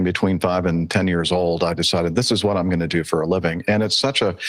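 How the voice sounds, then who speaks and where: With music in the background, a man at a very deep, low pitch speaks at a moderate pace with ordinary pitch variation. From Southern California, then Mobile, Alabama from age 13. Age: 60s. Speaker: airline pilot. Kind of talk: interview conversation. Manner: halting, many fillers.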